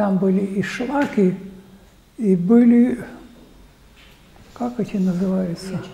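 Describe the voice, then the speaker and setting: A man speaks very slowly in a high voice. His pitch moves in an ordinary way. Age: 80s+. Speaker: archaeologist. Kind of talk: public talk, reminiscing.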